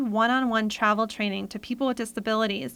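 On a very clean recording with a silent background, a woman with an ordinary speaking voice talks at a fairly high pitch with fairly even intonation. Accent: American. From Rhode Island, US. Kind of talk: interview.

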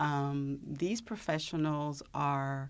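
A woman with a very deep, low voice speaks at a very slow pace with ordinary pitch variation. The recording is very clean, with a silent background. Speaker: speech pathologist. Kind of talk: informative interview.

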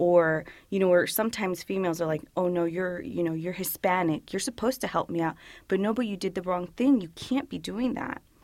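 In a very clean recording with a silent background, a woman speaks at a moderate pace, her fairly low pitch showing ordinary variation. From Woodbridge, northern Virginia, US. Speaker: police officer. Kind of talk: interview. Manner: casual, filler-heavy.

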